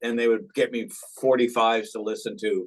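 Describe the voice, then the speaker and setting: With an American accent, a man uses a normal speaking voice at a medium pitch and a moderate pace. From Tulsa, Oklahoma. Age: 60s. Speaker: guitarist. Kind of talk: interview. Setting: video call.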